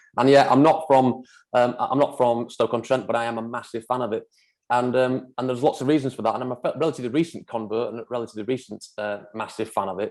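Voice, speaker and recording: Speaking in a Manchester accent, a man talks at a very fast pace. His pitch is medium and his intonation fairly even. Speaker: property developer. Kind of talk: presentation. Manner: halting, many fillers.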